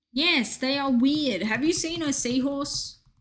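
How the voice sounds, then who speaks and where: With a slight Australian accent, a high-voiced woman talks at a fairly slow pace and with ordinary pitch variation. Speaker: video game streamer. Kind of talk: casual chat. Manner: animated.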